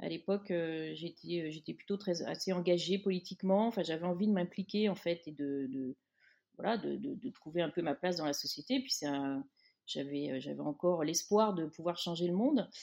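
A woman speaks in a dark, mellow tone at a fairly low pitch with ordinary pitch variation. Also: moderate pace. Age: 50s. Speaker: magazine editor. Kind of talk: interview. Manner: hesitant, repeats words.

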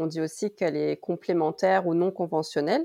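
The sound is close and dry, without any echo. A woman talks at a moderate pace. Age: 30s. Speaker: pharmacist and naturopathy student. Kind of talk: casual interview.

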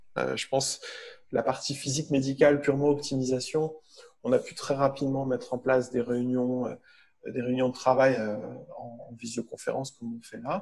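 A man with a medium-pitched, flat, monotone delivery pauses long and often while his loudness swings widely. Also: moderate pace. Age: 40s. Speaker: medical physicist and company founder. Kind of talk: interview. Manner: halting.

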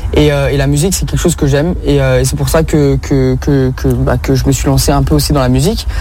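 A man speaks at a fairly quick pace. Noticeable background noise and audible room echo surround him. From France, Rhône-Alpes (Bron / Ain). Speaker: comedian and social media creator. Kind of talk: radio interview.

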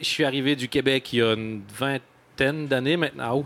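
A man with a normal speaking voice talks at a fairly quick pace, at medium pitch with ordinary pitch variation. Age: 40s. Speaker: comedian. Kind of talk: live panel discussion.

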